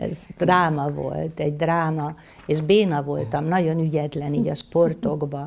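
This woman's voice sits very deep and low in pitch. Her intonation stays fairly even. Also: fairly slow pace. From Hungary, Veszprém county. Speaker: physician and writer. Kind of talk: interview on stage. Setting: stage with audience.

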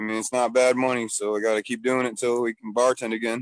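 A man with an American accent talks at a very fast pace and a medium pitch. His intonation is monotone and flat, and the sound is dry and close with no echo. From Michigan. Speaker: comedian and bartender. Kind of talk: casual chat. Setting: video call, outdoors.

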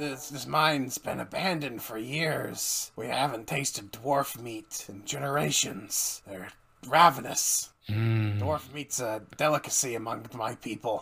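A man uses a put-on character voice at medium pitch. He speaks at a fairly slow pace. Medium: actual play. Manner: conspiratorial, apologetic, casual.

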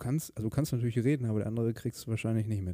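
With a calm, soothing tone, a man speaks at a fairly low pitch. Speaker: podcast host. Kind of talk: casual solo monologue.

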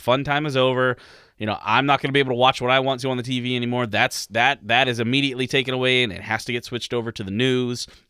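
A man talks at a very fast pace with medium pitch. His intonation is monotone and flat. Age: 30s. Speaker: podcast co-host. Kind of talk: casual chat.

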